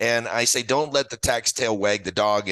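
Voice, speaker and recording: Against a quiet background, a man's bright, sharp tone comes through dry and close with no echo. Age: 60s. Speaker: retirement author and financial expert. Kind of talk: interview. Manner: conversational, with frequent fillers and restarts.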